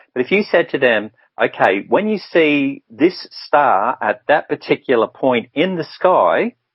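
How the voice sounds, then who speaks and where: A man speaks at a fairly high pitch and a fairly slow pace. His pitch swings very widely. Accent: Australian. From Brisbane, Australia. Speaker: spiritual guidance counsellor. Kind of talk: radio interview answer.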